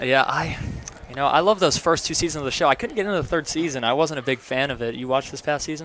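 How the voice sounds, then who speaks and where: Speaking very fast, a man with an American accent has a fairly high pitch. Noticeable background noise sits behind his voice. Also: ordinary pitch variation. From North Carolina coast. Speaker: baseball play-by-play announcer. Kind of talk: live sports commentary with interview. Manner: conversational, casual.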